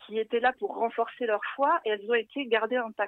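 This woman's voice is high. She moves at a fairly quick pace, her pitch varying in an ordinary way. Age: 30s. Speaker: travel blogger and web writer. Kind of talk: casual radio interview.

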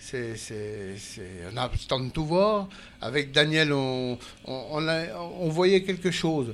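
A man's fairly high voice moves very slowly and swings very widely in pitch. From eastern France, Jura. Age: 60s. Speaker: retired car body repairer, traveler. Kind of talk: interview. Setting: studio on a festival barge. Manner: halting.

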